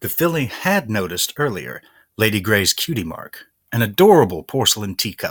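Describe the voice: Plain reading aloud sits over a background that stays quiet.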